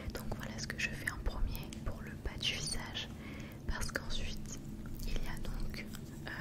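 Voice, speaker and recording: Noticeable background noise surrounds a woman who speaks in a whisper. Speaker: ASMR creator. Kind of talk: ASMR whispered wellness talk. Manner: whispered, soft, slow.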